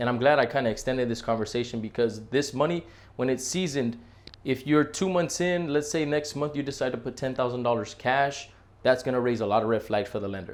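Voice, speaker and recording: The speaker is a man with ordinary pitch variation. He moves at a fairly quick pace. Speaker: real estate agent. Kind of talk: tutorial. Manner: fast.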